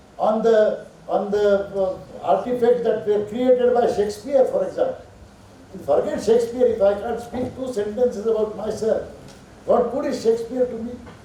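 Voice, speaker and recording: An extremely high-pitched male voice at a moderate pace, with fairly even intonation, noticeable background noise and audible room echo. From India. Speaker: professor. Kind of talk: lecture.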